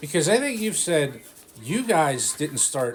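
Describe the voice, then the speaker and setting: Noticeable background noise runs through the recording. Over it, a man talks at a moderate pace. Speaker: grandchild interviewer. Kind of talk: casual interview questions.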